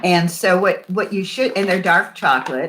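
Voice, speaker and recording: Her bright, sharp tone carries a medium pitch for this woman, with ordinary pitch variation. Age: 70s. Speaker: winery owner. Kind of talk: virtual wine tasting. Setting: video call. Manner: animated.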